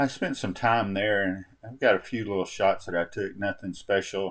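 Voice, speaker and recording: A relaxed tone at a moderate pace with fairly even intonation. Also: man. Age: 60s. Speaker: travel vlogger. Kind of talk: casual vlog narration. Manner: relaxed, halting with fillers.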